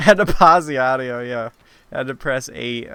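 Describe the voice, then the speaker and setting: Talking at a moderate pace, a man has a bright, sharp tone at medium pitch. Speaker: livestreamer. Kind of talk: casual chat. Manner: halting.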